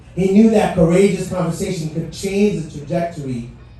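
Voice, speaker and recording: Over noticeable background noise, a man speaks at a high pitch. His pace is moderate, and room echo is audible. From Haiti. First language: French. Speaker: motivational speaker. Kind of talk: speech. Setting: stage with audience. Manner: animated.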